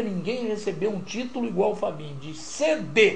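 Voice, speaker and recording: Speaking at a moderate pace, a man sounds animated, with lively intonation, audible room echo and noticeable background noise. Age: 50s. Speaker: radio broadcaster and journalist. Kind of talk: casual interview.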